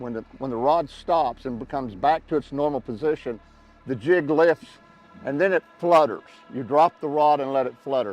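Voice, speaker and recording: Pitched fairly high, a man with a Southern US accent talks at a moderate pace with ordinary pitch variation, in a dry, close sound with no echo but noticeable background noise. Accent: Southern US (Oklahoma). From Oklahoma, USA. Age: 70s. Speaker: lifelong fisherman. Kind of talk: on-boat fishing instruction. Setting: outdoors.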